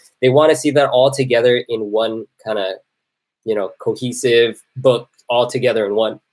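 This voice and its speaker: A man talks in a medium pitch, keeping his pace moderate. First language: not English. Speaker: product designer. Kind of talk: livestream casual talk. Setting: live video. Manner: animated, informal.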